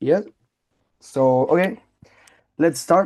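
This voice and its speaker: Speaking with a Spanish accent, a man has a dark, mellow tone and a fairly high pitch. His intonation is lively, and the background is quiet. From Spain. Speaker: radio interviewer. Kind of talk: interview. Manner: halting.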